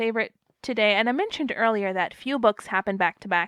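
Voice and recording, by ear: With ordinary pitch variation, the reading aloud in a natural voice plays over a quiet background.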